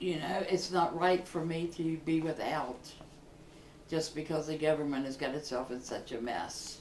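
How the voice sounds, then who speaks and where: A woman's very deep, low voice at a moderate pace, with noticeable background noise and audible room echo. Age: 60s. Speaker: Social Security recipient. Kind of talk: testimony. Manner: earnest, somewhat halting.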